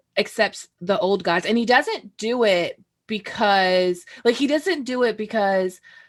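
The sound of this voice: The speaker uses an unforced reading voice with lively intonation against a quiet background.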